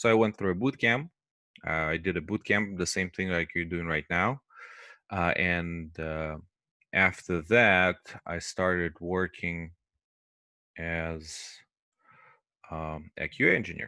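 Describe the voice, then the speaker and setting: Marked by a non-native accent, a man with a very deep, low pitch and a bright, sharp tone talks at a fairly slow pace with long, frequent pauses, in a dry recording with no echo and a quiet background. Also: ordinary pitch variation. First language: not English. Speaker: QA teacher. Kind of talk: lecture. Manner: hesitant, many fillers. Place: home room. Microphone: headset.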